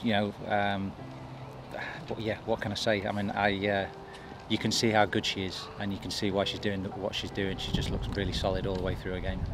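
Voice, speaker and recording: Noticeable background noise sits behind a man with a fairly low pitch. He talks at a fairly quick pace in a monotone, flat intonation, and the sound is dry with no echo. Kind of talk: interview answer. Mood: relaxed, pleased. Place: open country.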